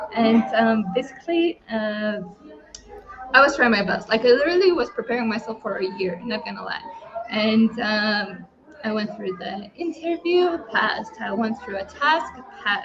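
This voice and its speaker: Lively intonation and a moderate pace mark this speaker with a Lithuanian accent, heard over noticeable background noise. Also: woman, fairly high pitch for a woman. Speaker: online entrepreneur. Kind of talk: testimony. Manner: halting.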